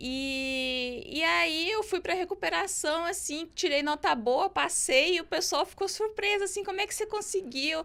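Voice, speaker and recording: A raised, projected voice with a bright, sharp tone and lively intonation goes at a fairly slow pace with hardly any pauses. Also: woman, extremely high pitch for a woman. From southern Brazil (Rio Grande do Sul). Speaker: lawyer. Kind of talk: podcast interview.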